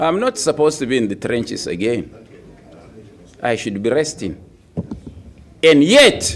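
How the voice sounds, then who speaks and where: Using a medium pitch with vocal fry, a man talks at a moderate pace, leaving long, frequent pauses and making very wide pitch swings. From Nigeria. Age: 70s. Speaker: opposition politician. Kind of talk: press conference speech. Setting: press conference.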